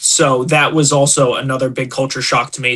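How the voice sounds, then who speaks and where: A man with an American accent, music in the background. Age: 30s. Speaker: professional fighter. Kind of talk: casual chat. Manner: animated.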